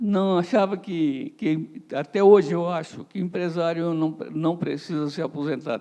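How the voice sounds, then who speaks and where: Dark and mellow in tone, a man's high-pitched voice moves at a fairly slow pace with ordinary pitch variation. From southern Brazil, Criciúma, Santa Catarina. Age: 80s+. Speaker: businessman, company founder. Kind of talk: interview at live event.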